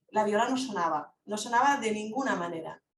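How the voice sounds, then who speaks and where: Her pitch is fairly high for a woman. She keeps to a moderate pace. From Catalonia, Lleida. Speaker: philosophy speaker. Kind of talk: online Q&A discussion. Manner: halting.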